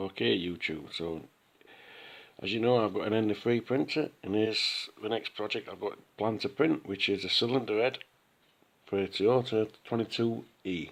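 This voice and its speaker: The speaker talks at a moderate pace in a Sheffield accent. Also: man, fairly low pitch for a man, ordinary pitch variation. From Sheffield, UK. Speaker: 3D printing hobbyist. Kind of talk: casual talk behind the camera, software walkthrough. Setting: phone recording.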